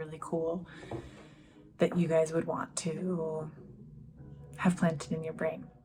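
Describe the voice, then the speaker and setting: Quiet and fairly low in pitch, a woman speaks at a moderate pace with ordinary pitch variation over noticeable background noise. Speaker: wellness coach. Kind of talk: casual vlog talk. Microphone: may be too quiet.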